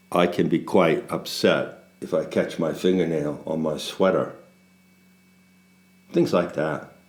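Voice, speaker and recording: A man speaks fairly slowly with a very deep, low pitch and long, frequent pauses. Audible room echo surrounds his voice. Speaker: spiritual teacher. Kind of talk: casual monologue. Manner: slow cadence punctuated by silence; pauses, gaps of silence.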